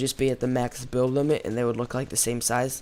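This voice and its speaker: The speech runs at a very fast pace under noticeable background noise. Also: man. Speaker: gaming YouTuber. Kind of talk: let's play commentary. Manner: casual, many fillers.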